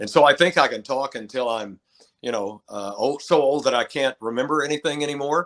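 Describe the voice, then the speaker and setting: In a plain, everyday voice, a man talks at a fairly high pitch and fairly quick pace with ordinary pitch variation, the sound dry and close with no echo. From Texas (Lubbock). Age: 60s. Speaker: retired sports radio broadcaster. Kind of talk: casual interview chat.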